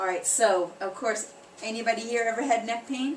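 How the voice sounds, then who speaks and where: A woman's fairly high-pitched voice with lively intonation at a moderate pace, amid audible room echo and noticeable background noise. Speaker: chiropractor. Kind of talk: workshop presentation. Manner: animated.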